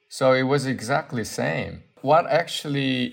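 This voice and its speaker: Speaking at a very slow pace, a man with a Korean accent uses a medium pitch. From Seoul, South Korea. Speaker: artist. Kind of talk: interview conversation. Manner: halting, thoughtful, with fillers.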